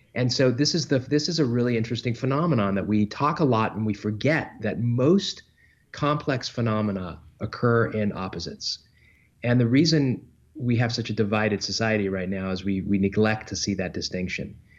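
A man with an ordinary speaking voice talks at a fairly quick pace in a medium pitch. His pitch varies in an ordinary way against a quiet background. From London, England (moved to Southern California at eight). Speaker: author. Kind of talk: interview.

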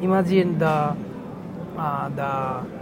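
A man speaks with a Bengali accent at a fairly high pitch. His intonation stays fairly even over noticeable background noise. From Bangladesh. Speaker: advertising creative director. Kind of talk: interview. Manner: halting.

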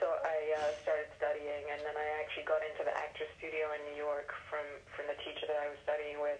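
A woman talks at a fairly quick pace with an American accent. Noticeable background noise runs beneath her. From London area, England. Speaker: actress. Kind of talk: casual interview.

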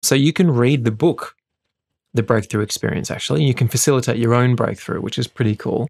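With vocal fry and ordinary pitch variation, a medium-pitched man speaks at a very fast pace in a dry, close sound with no echo. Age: 40s. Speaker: wellness speaker, host's husband. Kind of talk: casual chat.

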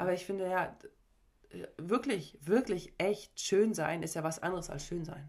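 A woman speaks at a fairly slow pace in a fairly low pitch, with ordinary pitch variation. Her speech has long, frequent pauses. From Mecklenburg-Vorpommern, Germany (Parchim/Schwerin). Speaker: sports psychologist and former volleyball player. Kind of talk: casual chat.

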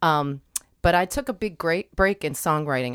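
In a very clean recording with a silent background and a dry, close sound with no echo, a woman with an American accent speaks at a moderate pace with ordinary pitch variation. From Delaware County, Pennsylvania. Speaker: musician and teaching artist. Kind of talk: radio interview.

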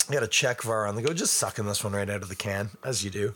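At a fast pace, a man with a raspy, bright, sharp tone speaks at a fairly low pitch with ordinary pitch variation.

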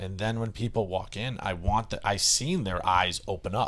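An ordinary speaking voice belongs to this man with an American accent, his pitch fairly low and its variation ordinary. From US Northeast, Boston area (Westwood, Massachusetts). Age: 30s. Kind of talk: casual chat.

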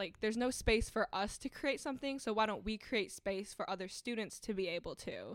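This woman has a Midwestern American accent. Her pitch is fairly high. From Michigan, Ann Arbor. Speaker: university student. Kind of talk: casual interview.

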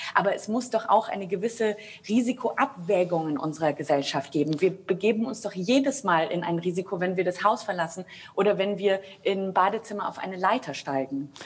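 A woman at a fairly quick pace with lively intonation, over noticeable background noise. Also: medium pitch for a woman. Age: 30s. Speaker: opera singer. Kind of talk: panel discussion. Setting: video call.

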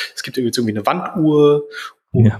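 The background noise is noticeable. The speaker is a man. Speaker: e-commerce podcast co-host. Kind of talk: casual chat.

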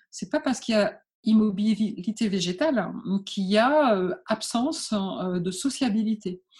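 A woman with a fairly high, somewhat breathy voice speaks at a fairly slow pace with lively intonation. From northern France (Calais). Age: 50s. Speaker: entrepreneur and marathon runner. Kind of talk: interview. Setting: remote interview. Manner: halting.

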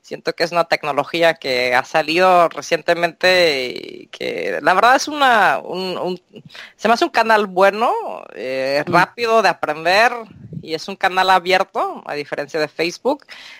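A woman's ordinary speaking voice at medium pitch, with lively intonation, a fairly slow pace and a dry, close sound with no echo. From Mexico. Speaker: translator and court interpreter. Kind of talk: interview.

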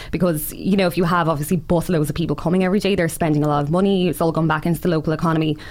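A woman with a Waterford accent talks at a very fast pace with hardly any pauses. Her fairly low voice stays monotone and flat, its loudness very even. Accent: Waterford Irish. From Ireland, Waterford city. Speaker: writer and social media creator. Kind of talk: casual interview chat.

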